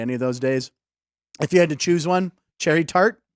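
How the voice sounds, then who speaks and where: Very fast speech from a man with an American accent, fairly high in pitch, with ordinary pitch variation and a dry, close sound with no echo. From Pittsburgh, US. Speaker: comedian and sports talk show host. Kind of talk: casual sports comedy talk show.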